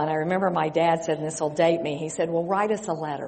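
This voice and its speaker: A woman with an American accent speaks at a fairly quick pace and a fairly low pitch, with monotone, flat intonation. Audible room echo surrounds her voice. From West Texas. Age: 60s. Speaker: missionary. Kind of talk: sermon.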